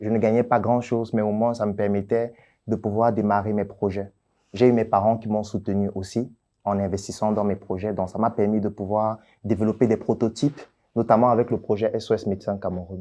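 This man talks at a fairly quick pace in a fairly low voice with a dark, mellow tone. His intonation is monotone and flat. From Cameroon, Yaoundé; Cameroon. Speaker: doctor and entrepreneur; interviewee. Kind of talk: interview. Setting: office. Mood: calm, explaining, defending himself. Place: studio. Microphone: lapel.

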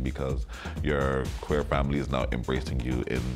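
Over clear background music, a man talks at a fairly quick pace. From Toronto. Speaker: ballroom community organizer. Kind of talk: interview answer. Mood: earnest, advocating. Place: home room.

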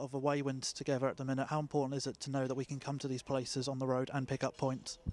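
At a very fast pace, a man talks with a medium pitch, a slightly mellow tone and little pitch movement.

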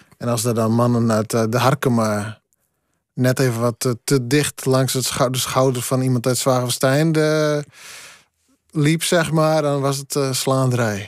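Against a quiet background, a man talks at a fairly slow pace with fairly even intonation, in a dry sound with no echo. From Friese Wouden, Friesland; Friesland. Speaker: poet. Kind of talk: radio interview. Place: studio. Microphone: studio mic.

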